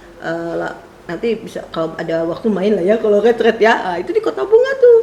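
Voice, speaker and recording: Amid noticeable background noise and audible room echo, a woman with a fairly high voice speaks at a moderate pace with lively intonation. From West Java, Purwakarta. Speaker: preacher, theology lecturer. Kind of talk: sermon introduction, casual chat with congregation. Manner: chatty, many fillers.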